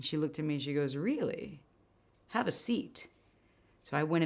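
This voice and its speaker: A woman's fairly low voice at a fairly quick pace, on a very clean recording with a silent background. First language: not English. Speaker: motivational speaker and NLP coach. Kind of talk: motivational talk.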